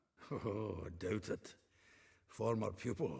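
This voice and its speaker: A man uses a raspy, put-on character voice at a fairly low pitch. He speaks at a fairly slow pace with ordinary pitch variation. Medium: video game. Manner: chuckling, chatty.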